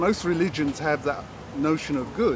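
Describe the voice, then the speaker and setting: Amid noticeable background noise, a man with a fairly high pitch speaks at a fairly slow pace. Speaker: yogi. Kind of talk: interview answer.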